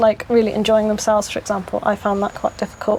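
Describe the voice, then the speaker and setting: A woman with a British accent, against noticeable background noise. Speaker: community resident and school worker. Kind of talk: interview. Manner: hesitant, many fillers.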